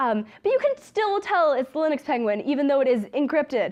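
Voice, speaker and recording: Over a quiet background, a woman talks at a fairly quick pace in a high voice. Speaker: student club officer giving a talk. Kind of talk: lecture. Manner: fast; casual, many fillers.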